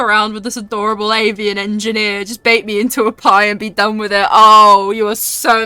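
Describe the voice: A plain reading aloud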